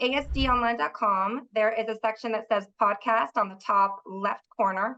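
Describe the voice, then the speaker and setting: A loud woman's voice, fairly high in pitch, with a bright, sharp tone. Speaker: trade show director and podcast host. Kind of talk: podcast interview.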